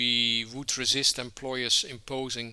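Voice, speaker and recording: This man speaks at a fairly slow pace with a Dutch accent and a bright, sharp tone. The recording is very clean, with a silent background. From Netherlands. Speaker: trade union leader. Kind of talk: podcast interview. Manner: hesitant, many filler words.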